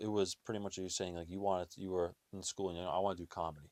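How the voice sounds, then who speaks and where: Quietly mumbling, a man with a very deep, low pitch comes through on a very clean recording with a silent background and a dry, close sound with no echo. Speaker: podcast host. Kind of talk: casual chat.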